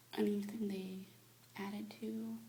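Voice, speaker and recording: Noticeable background noise sits behind a soft-spoken woman with a gentle tone. Her very deep, low voice swings very widely in pitch. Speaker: ASMR creator / whisperer. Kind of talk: ASMR review, casual talk to camera. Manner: soft-spoken, gentle.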